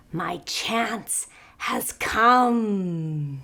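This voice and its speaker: A woman's put-on character voice at medium pitch with lively intonation. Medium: read story. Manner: boastful.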